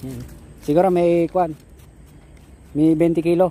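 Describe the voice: A man speaks at a moderate pace in a fairly high voice with a dark, mellow tone and ordinary pitch variation.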